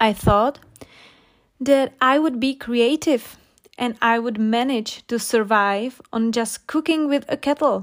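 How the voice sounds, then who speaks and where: A woman speaks at a very slow pace with a non-native accent. Her pitch is high, with ordinary variation. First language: not English. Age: 20s. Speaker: English-learning podcaster. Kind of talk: storytelling with vocabulary explanations. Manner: slow, clear.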